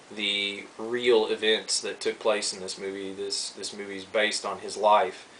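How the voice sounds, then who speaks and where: A man speaks over noticeable background noise. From Kentucky. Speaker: film collector vlogger. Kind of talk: casual video review. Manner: casual, many fillers.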